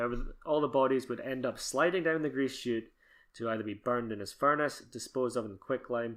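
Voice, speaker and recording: With a fairly quick pace and ordinary pitch variation, this man has an unremarkable speaking voice at a medium pitch, recorded very cleanly against a silent background. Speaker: podcast co-host. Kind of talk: casual podcast conversation.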